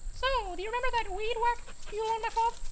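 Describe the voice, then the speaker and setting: A squeaky put-on character voice races along at a very fast pace over clear background noise. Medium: comedy sketch. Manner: boastful.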